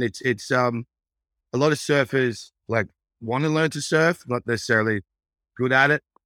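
Speaking at a moderate pace, a man with an Australian accent has a medium pitch and a bright, sharp tone. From Australia, Brisbane, Queensland. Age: 40s. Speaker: entrepreneur and restaurateur. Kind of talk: casual interview chat.

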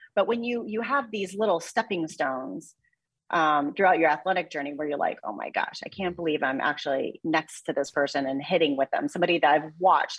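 A normal speaking voice from a woman with an American accent, a fairly low pitch, lively intonation and a fairly quick pace. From US Midwest (Mexico, Missouri). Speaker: sports broadcaster and former tennis player. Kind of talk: interview.

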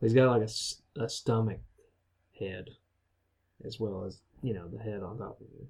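At a moderate pace with long, frequent pauses, a man speaks at a medium pitch in a somewhat breathy voice, with fairly even intonation and big swings in loudness. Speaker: podcast host. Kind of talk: casual chat.

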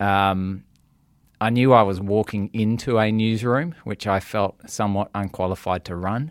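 Fairly low-pitched male voice with fairly even intonation, on a very clean recording with a silent background. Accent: Australian. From Western Australia, Perth. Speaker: news executive. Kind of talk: interview.

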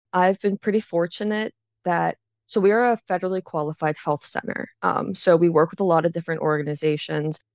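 A woman with an American accent talks at a fairly quick pace and a medium pitch, with ordinary pitch variation. She has an unremarkable speaking voice, and the sound is dry and close with no echo. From Pittsburgh, Pennsylvania. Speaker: AmeriCorps member, suicide prevention trainer. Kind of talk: interview.

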